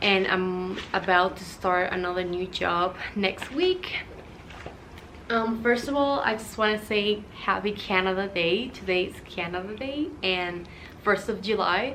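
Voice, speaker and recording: A woman with a Spanish accent at medium pitch, ordinary pitch variation and a fairly slow pace, with audible room echo and noticeable background noise. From Cuba. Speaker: vlogger. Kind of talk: personal vlog talk. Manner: casual, hesitant with fillers.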